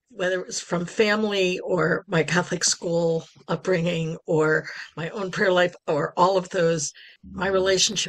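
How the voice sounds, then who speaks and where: This woman has a fairly low pitch and speaks at a fairly slow pace. It is an ordinary speaking voice with fairly even intonation. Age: 60s. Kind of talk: podcast interview.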